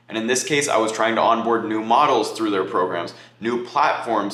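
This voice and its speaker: Amid noticeable background noise and audible room echo, a man speaks at a very fast pace with a medium pitch and ordinary pitch variation. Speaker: content agency owner. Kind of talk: talking-head business advice video.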